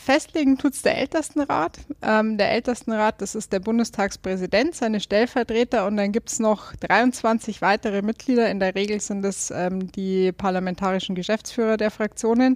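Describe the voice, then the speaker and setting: A woman's fairly high voice with a slight Bavarian accent, at a moderate pace with hardly any pauses, in a dry, close sound with no echo. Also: ordinary pitch variation. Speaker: politician. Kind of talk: interview. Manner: halting, many fillers.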